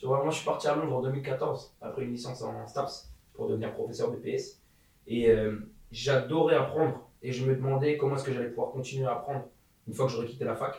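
Audible room echo around a man talking at a fairly quick pace. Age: 20s. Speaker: entrepreneur. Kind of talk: casual chat.

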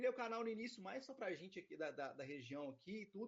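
Pitched high, a man speaks at a fairly quick pace with very wide pitch swings. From Minas Gerais, Brazil (Itaúna). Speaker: airsoft player and youtuber. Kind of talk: casual interview chat.

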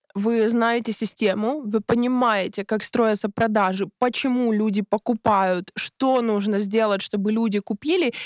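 Her voice is fairly high-pitched, and the woman speaks at a very slow pace with fairly even intonation. The sound is dry and close, with no echo. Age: 20s. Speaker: blogging course creator. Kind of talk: podcast interview.

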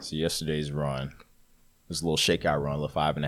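A man speaks in a very deep, low voice. His intonation is monotone and flat. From US South, Atlanta. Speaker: ultramarathon runner and Marine veteran. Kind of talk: casual chat.

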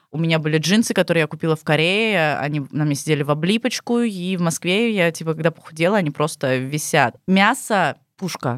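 A woman with a normal speaking voice talks at a fairly quick pace in a fairly low pitch, her intonation lively and her loudness swinging widely, on a very clean, dry, close recording with a silent background and no echo. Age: 20s. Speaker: former bar hostess in Asia. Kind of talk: casual chat.

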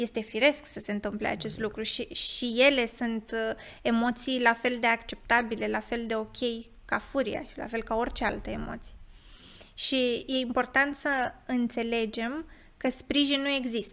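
A woman's high-pitched voice at a fairly slow pace, fairly even in intonation, on a very clean recording with a silent background. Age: 20s. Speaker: psychotherapist. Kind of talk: interview.

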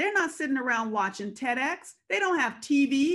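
Against a quiet background, a woman with an American accent talks at a moderate pace with a high pitch. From US West Coast, Compton, California. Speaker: development expert and PhD candidate. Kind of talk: interview.

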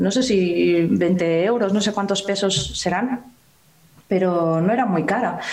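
A woman talks with lively intonation. Her voice carries audible room echo over noticeable background noise. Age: 40s. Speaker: analog photographer and YouTuber. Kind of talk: casual interview.

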